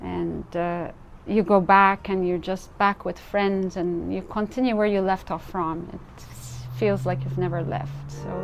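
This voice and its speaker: Speech comes at a fairly slow pace with music in the background. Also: woman. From Malta. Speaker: immigrant interviewee. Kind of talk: testimony.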